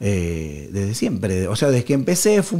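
A man with a Rioplatense accent talks in a dark, mellow tone, his pitch swinging very widely. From Argentina, Rosario. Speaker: harmonica player. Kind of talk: casual interview.

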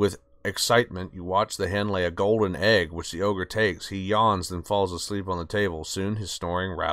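The intonation stays fairly level as the speaker reads aloud in a natural voice.

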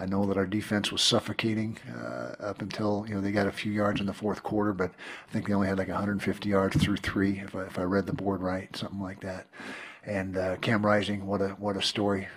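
A man with an unremarkable speaking voice talks at a fairly quick pace, fairly low in pitch, with fairly even intonation. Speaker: head football coach. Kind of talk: press conference statement. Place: hall. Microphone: podium.

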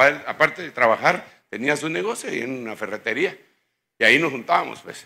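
This man talks at a fairly quick pace. His tone is bright and sharp, and his pitch swings very widely. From Guatemala. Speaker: pastor. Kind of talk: sermon. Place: church. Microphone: handheld.

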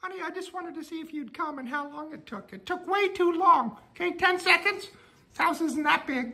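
In a cartoonish character voice, a female-sounding speaker uses an extremely high pitch at a moderate pace with hardly any pauses. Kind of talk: comic domestic sketch. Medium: puppet show. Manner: menacing in a joking way; nagging, demanding, petty.

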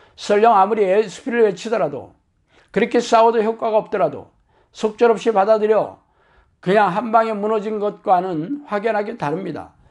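The voice moves through ordinary pitch variation over a quiet background. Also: man, high pitch for a man, moderate pace. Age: 60s. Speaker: pastor. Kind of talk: sermon. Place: home room. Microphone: lapel.

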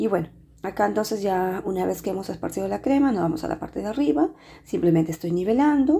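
Talking at a very fast pace, this dark, mellow voice carries vocal fry and very wide pitch swings. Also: woman. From Peru. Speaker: pastry chef and cooking youtuber. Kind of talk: tutorial. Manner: hesitant with frequent filler sounds.

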